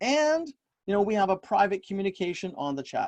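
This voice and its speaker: Fairly quick, high-pitched male speech with lively intonation. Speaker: business coach running a webinar. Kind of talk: webinar presentation. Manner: fast; casual, conversational.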